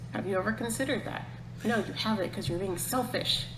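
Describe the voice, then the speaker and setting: Over music in the background, a woman with an American accent speaks amid audible room echo. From United States. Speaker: podcast host. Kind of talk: casual chat. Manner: rambling, fast.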